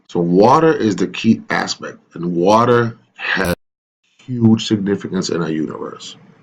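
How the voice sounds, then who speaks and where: The man's fairly low voice has lively intonation and moves at a fairly slow pace. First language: Greek. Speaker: spiritual vlogger. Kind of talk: casual monologue to camera. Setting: in front of camera. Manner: halting.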